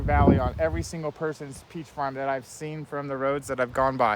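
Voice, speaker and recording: A man with a medium pitch speaks at a very fast pace, his pitch swinging very widely over noticeable background noise. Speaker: environmental consultant. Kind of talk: walkthrough video monologue. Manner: animated.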